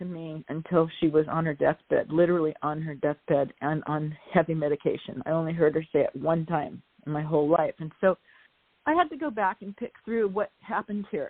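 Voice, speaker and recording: An ordinary speaking voice from a woman, fairly low in pitch and fairly quick, with ordinary pitch variation. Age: 60s. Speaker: author. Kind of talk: casual chat.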